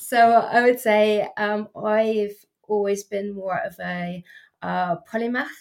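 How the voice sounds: Vocal fry runs through this slow delivery, and the intonation stays fairly even. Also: woman, medium pitch for a woman.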